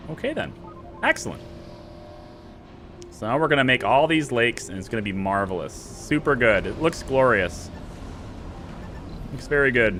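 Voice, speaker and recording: Amid noticeable background noise, the speaker talks at a moderate pace in an animated tone with lively intonation and long, frequent pauses. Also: man, medium pitch for a man. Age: 30s. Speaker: video game streamer. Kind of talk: live stream gameplay chat. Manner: casual, animated.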